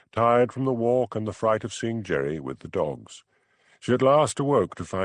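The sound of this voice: With ordinary pitch variation, an unforced reading voice comes through over a quiet background.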